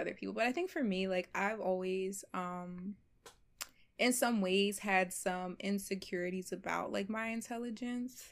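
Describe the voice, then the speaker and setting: In a very clean recording with a silent background, a woman speaks at a fairly slow pace. She has a plain, everyday voice, medium in pitch, with ordinary pitch variation. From US Northeast, Philadelphia. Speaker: medical student. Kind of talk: casual chat.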